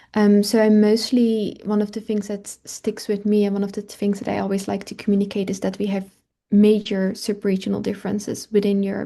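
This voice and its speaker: A woman with a Dutch accent speaks at medium pitch in a dark, mellow tone, against a quiet background. Her intonation is monotone and flat, and her pace is fairly quick. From Netherlands. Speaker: climate and health researcher. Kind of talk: webinar Q&A. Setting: online webinar.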